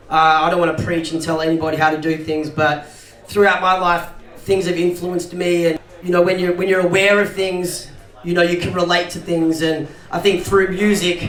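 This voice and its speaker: Against noticeable background noise, a man with a high pitch speaks at a fairly quick pace in a monotone, flat intonation. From South Africa. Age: 40s. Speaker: multidisciplinary artist and filmmaker. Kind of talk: interview answer.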